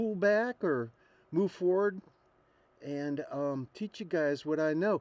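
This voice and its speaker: A man speaks with lively intonation. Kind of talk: casual talk to camera. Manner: hesitant, rambling.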